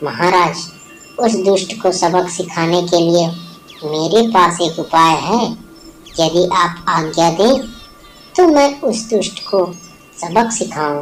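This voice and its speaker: A cartoonish character voice at a middle pitch. It moves at a fairly slow pace, with long, frequent pauses. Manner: polite, deferential.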